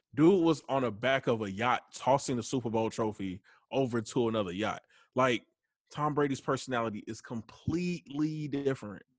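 A man with a Southern US accent speaks at a medium pitch and moderate pace with ordinary pitch variation, recorded very cleanly against a silent background. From US South. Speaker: guest co-host, sports fan. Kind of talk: casual chat.

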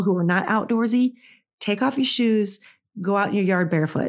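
The recording is very clean, with a silent background. A woman speaks at a fairly high pitch with ordinary pitch variation. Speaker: podcast host. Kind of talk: solo podcast monologue, casual chat. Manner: casual, conversational.

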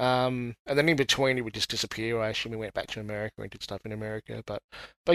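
Recorded dry and close with no echo in a quiet background, a man speaks at a medium pitch with an Australian accent. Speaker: listener guest. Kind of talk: casual chat.

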